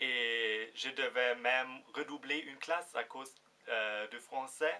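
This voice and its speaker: A man with a German accent, medium pitch and a bright, sharp tone, at a very slow pace. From Germany. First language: German (speaking French). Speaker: vlogger. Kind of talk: casual vlog. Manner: halting, many fillers.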